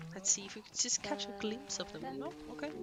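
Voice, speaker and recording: With a slight Finnish accent, a woman talks in a lively intonation. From Finland. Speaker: video game streamer. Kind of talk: gameplay tour commentary. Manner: casual, chatty.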